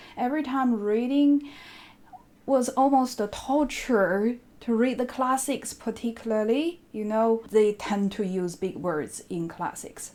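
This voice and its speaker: A woman with a Chinese accent speaks at a fairly slow pace in a dark, mellow tone. Her pitch is fairly high, with ordinary pitch variation. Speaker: book vlogger. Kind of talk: casual chat.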